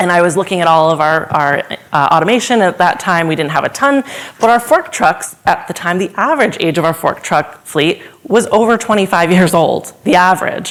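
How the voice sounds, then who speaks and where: With noticeable background noise behind her, a woman talks at a fairly quick pace. Her intonation is lively and her loudness very even. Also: medium pitch for a woman. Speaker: supply chain consultant. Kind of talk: conference talk. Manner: fast.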